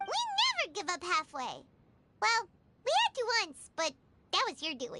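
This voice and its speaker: An extremely high, squeaky, put-on character voice speaks at a moderate pace with long, frequent pauses. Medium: video game. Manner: chatty, expressive.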